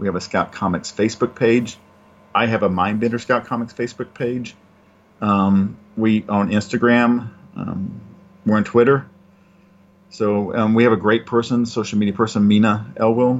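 With a Southern US accent, a man of medium pitch talks at a moderate pace with fairly even intonation and long, frequent pauses. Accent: Southern US (Georgia). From US South, Georgia. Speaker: comic book publisher and writer. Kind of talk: casual interview.

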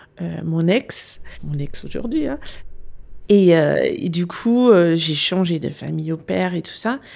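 Her loudness swinging widely, a woman speaks at a very slow pace. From Denmark. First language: Danish (speaking French). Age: 40s. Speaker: business consultant. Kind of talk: interview. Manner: hesitant.

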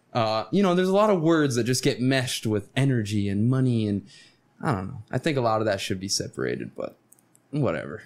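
An ordinary speaking voice with an American accent, fairly quick pace and lively intonation. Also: man, medium pitch for a man. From Florida. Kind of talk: casual chat.

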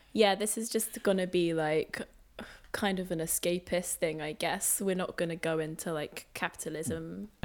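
With vocal fry and a fairly low pitch, a woman speaks at a moderate pace with ordinary pitch variation. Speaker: podcast co-host. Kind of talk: casual chat. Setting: remote recording with headphones. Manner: quiet, soft-spoken.

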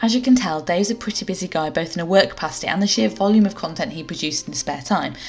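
Over noticeable background noise, a woman speaks very fast at a medium pitch with ordinary pitch variation. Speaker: podcast host. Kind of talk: scripted intro and casual interview.

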